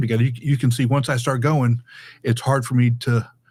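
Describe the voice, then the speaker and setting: The recording is very clean, with a silent background. A man speaks in a somewhat breathy voice. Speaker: public speaking educator. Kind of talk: podcast interview. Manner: fast; halting, many repeated words.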